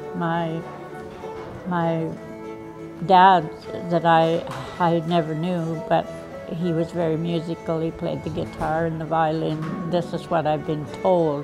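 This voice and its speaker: A woman with a fairly low pitch and monotone, flat intonation at a very slow pace, with long, frequent pauses and clear music in the background. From Ontario, Canada. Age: 80s+. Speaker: pianist and musician; interviewee. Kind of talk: casual interview answer. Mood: reflective, calm. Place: home room. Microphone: lapel.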